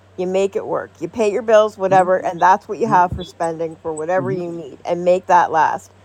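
A woman with a Canadian accent has an ordinary speaking voice. She talks at a moderate pace and a medium pitch with ordinary pitch variation. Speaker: podcaster. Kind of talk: casual chat.

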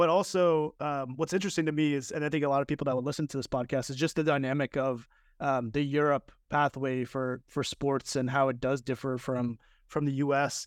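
With a normal speaking voice and an American accent, a man talks at a fairly quick pace with a fairly high pitch, the sound dry and close with no echo over a quiet background. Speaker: podcast host. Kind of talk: casual interview.

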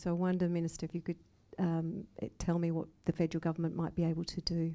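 A dark, mellow tone carries an Australian accent in a monotone, flat delivery. The recording is very clean, with a silent background. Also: woman. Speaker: entrepreneur, audience questioner. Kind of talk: audience question. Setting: live event with audience.

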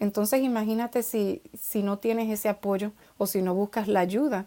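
At a moderate pace, a woman speaks in a dark, mellow tone at a medium pitch with ordinary pitch variation. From Dominican Republic. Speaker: children's author and poet. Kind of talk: interview conversation.

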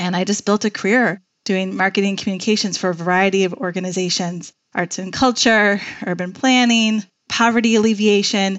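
In an ordinary speaking voice, a woman with an American accent talks at a fairly quick pace, medium in pitch with fairly even intonation. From Chicago. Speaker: nonprofit executive director. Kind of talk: interview conversation.

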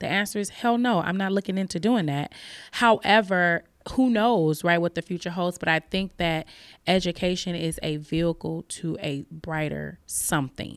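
A woman with a plain, everyday voice speaks at a fairly low pitch with ordinary variation, in a dry, close sound with no echo and a very clean recording over a silent background. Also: moderate pace. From Chicago, west side. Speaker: literature professor. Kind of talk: casual chat.

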